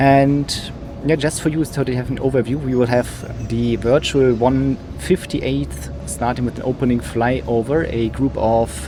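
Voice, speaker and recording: A man with a German accent speaks at a fairly slow pace amid noticeable background noise. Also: medium pitch for a man, lively intonation. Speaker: flight sim streamer, airshow commentator. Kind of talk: live commentary. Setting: live stream. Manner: hesitant, many fillers.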